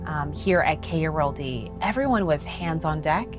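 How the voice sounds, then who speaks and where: A woman with an American accent at a moderate pace, music in the background. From Texas. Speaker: radio news anchor. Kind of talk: interview answer.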